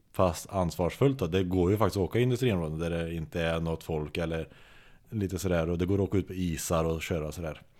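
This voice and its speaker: Very deep and low-pitched, a man talks at a very fast pace with ordinary pitch variation. The recording is very clean, with a silent background. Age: 30s. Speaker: car builder and racer. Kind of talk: casual chat.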